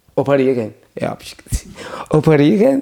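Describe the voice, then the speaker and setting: A man is speaking. His intonation is lively. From Iran. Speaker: refugee sharing faith story. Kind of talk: testimony. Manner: halting.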